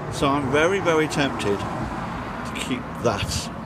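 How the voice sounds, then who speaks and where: A man speaks while music plays in the background. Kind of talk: casual vlog chat. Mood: reflective, slightly wistful. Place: street. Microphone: phone near.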